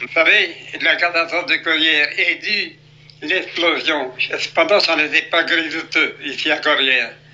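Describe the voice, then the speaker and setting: Noticeable background noise sits under a man speaking at a fairly slow pace. His pitch is high and his intonation fairly even. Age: 80s+. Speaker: retired coal miner. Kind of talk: interview.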